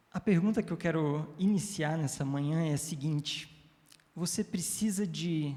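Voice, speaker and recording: In a room with audible echo, a man with a dark, mellow tone speaks fairly slowly, his fairly high pitch showing ordinary variation. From Brazil, Curitiba, family from Florianópolis. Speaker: preacher. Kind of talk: sermon. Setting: church. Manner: halting.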